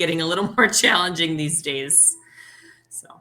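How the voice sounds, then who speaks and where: A woman with a very deep, low pitch. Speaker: teacher. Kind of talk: casual chat. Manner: animated; loud.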